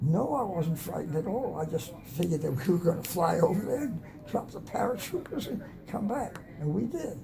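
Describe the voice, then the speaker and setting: A man with a high voice talks at a fairly quick pace with lively intonation over noticeable background noise. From Atlanta, Georgia, USA. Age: 90s. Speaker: war veteran. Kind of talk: interview answer.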